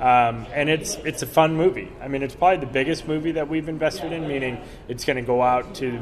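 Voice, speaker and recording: Noticeable background noise accompanies a man speaking. He talks at a fairly quick pace with fairly even intonation. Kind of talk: interview, casual chat. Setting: convention, recorded at a comic con.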